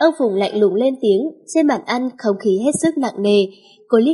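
With lively intonation, the reading voice sounds unforced.

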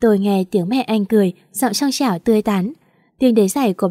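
Someone reads aloud plainly while the pitch shifts in an ordinary way.

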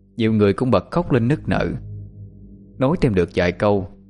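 A passage given as plain reading aloud

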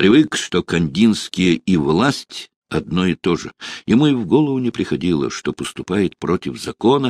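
In an unforced reading voice, the speaker uses lively intonation against a quiet background.

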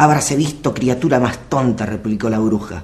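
Natural reading voice, pitch varying in an ordinary way

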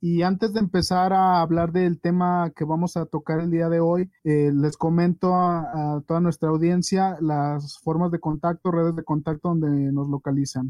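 A man speaks at a moderate pace with a high-pitched voice. His intonation stays fairly even. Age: 30s. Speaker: podcast host. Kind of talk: casual chat.

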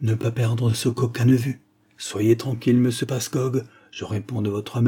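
Unadorned reading aloud, its intonation fairly level throughout.

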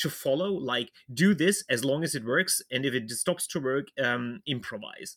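In a very clean recording with a silent background, a man with a fairly high pitch and a plain, everyday voice talks at a moderate pace with lively intonation, the sound dry and close with no echo. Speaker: history podcast host. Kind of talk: casual chat.

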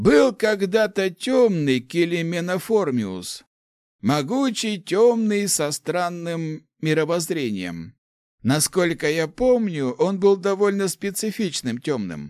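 On a very clean recording with a silent background, a man does a slow, put-on character voice at a high pitch with big pitch swings. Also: slightly mellow tone.

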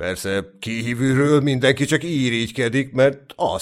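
Reading aloud, plainly done.

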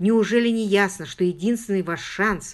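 Reading aloud, plain.

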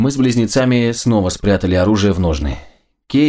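The background is quiet, and the natural reading voice shows ordinary pitch variation.

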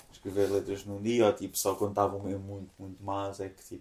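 Flat and monotone in intonation, a man speaks at a moderate pace with a fairly low pitch and a dark, mellow tone. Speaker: musician. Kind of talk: casual chat.

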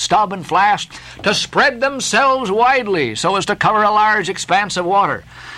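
Straightforward reading aloud, pitch moving in an ordinary way

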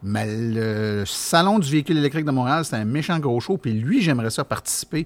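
A man at a fairly quick pace with a Quebec accent, ordinary pitch variation, and a very clean recording over a silent background. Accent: Québécois French. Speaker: podcast host. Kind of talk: casual chat. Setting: makeshift studio at an event.

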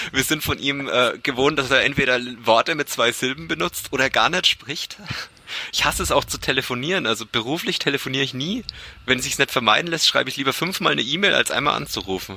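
Over noticeable background noise, a man speaks very fast with lively intonation and a fairly high pitch. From Franconia, Germany (Bamberg). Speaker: amateur triathlete and podcaster. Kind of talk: casual interview chat.

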